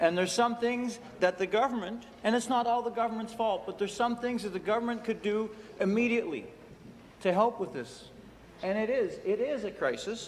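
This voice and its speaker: Against noticeable background noise, a man with a high pitch speaks at a fairly quick pace with fairly even intonation. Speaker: provincial legislator. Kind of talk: legislative floor statement.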